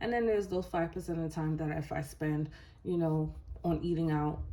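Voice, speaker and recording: At a moderate pace, a woman with a very deep, low, dark and mellow voice speaks amid audible room echo. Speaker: budgeting YouTuber. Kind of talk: casual vlog tutorial.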